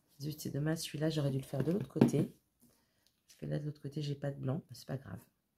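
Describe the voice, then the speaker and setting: The voice is dark and mellow, with vocal fry and flat, monotone intonation. It runs at a very fast pace with big swings in loudness. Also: woman, very deep, low pitch for a woman. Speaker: craft tutorial youtuber. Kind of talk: tutorial. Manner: casual, chatty with fillers.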